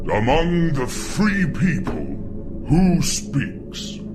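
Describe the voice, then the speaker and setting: A man uses a put-on character voice at a very slow pace. Loud background noise runs behind him. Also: fairly high pitch for a man. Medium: read story. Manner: solemn, monotonous.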